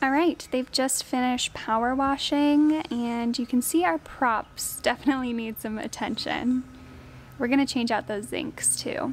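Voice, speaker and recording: Delivery is fairly slow, with fairly even intonation. Light background noise can be heard. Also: woman, high pitch for a woman. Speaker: boat owner vlogger. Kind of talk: casual vlog chat. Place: open country. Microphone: phone near.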